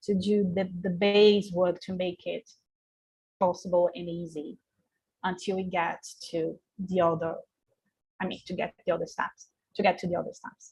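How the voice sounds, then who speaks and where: A woman with a Portuguese accent talks at a moderate pace in a somewhat breathy voice. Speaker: researcher. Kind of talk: panel discussion. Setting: video call. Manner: halting.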